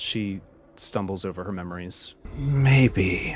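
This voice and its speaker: Low in pitch, this put-on character voice moves at a fairly slow pace. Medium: actual play. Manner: eerie, distant, sparse.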